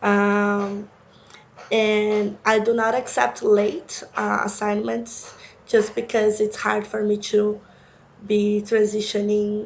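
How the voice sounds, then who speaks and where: A woman with a Brazilian accent, fairly high in pitch and very slow, with monotone, flat intonation and audible room echo. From Brazil, Sao Paulo. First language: Portuguese. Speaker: university instructor. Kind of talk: course introduction lecture.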